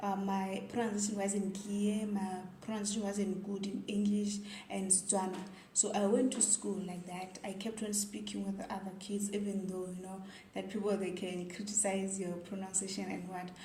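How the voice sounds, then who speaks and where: A woman with a Zimbabwean accent, medium in pitch, at a moderate pace with monotone, flat intonation, plus noticeable background noise and audible room echo. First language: Ndebele. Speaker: vlogger. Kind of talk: casual vlog monologue.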